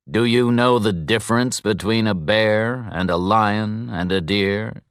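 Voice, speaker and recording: In a put-on character voice, a man speaks at a fairly low pitch with ordinary pitch variation and a fairly slow pace. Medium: read story. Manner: formal, measured.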